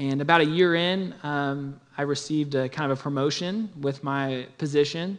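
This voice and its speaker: With a Midwestern American accent, a man talks at a moderate pace and fairly high pitch, with ordinary pitch variation and hardly any pauses. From Kansas City area (Olathe, Kansas). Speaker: church planting pastor. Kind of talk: testimony.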